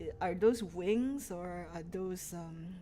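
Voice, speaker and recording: A woman with a Malaysian accent speaks at a very slow pace in a medium pitch. Her tone is relaxed, dark and mellow. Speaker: game streamer. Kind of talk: casual gaming livestream commentary. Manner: relaxed, chill.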